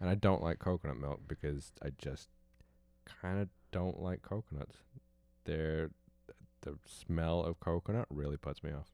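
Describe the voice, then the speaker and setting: A man with a very deep, low pitch and a dark, mellow tone talks with ordinary pitch variation and long, frequent pauses. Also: moderate pace. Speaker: host's partner. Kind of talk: casual chat.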